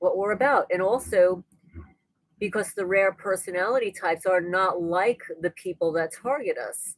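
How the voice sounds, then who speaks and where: An unremarkable speaking voice at a moderate pace, with ordinary pitch variation. The sound is dry and close, with no echo. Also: woman, medium pitch for a woman. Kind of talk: casual livestream talk to camera. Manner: conversational, rambling.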